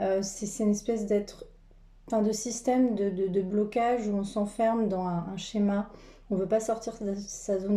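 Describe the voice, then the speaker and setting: At a fairly slow pace, a woman talks in a medium-pitched voice with a dark, mellow tone. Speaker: tarot card reader and energy healer. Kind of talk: spiritual card reading. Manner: halting with many fillers.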